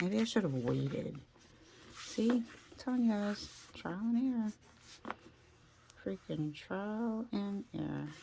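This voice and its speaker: Quiet and somewhat breathy, a woman with a dark, mellow tone and medium pitch speaks at a fairly slow pace with lively intonation and long, frequent pauses. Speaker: crafter making handmade journals. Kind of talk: tutorial. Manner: quiet, sparse talk while focused; casual, thinking aloud.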